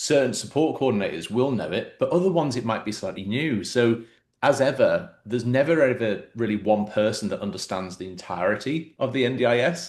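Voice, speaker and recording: With an English accent, the speaker talks at a fairly quick pace with lively intonation and hardly any pauses against a quiet background. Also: man, medium pitch for a man. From England. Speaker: podcast host. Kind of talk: interview conversation.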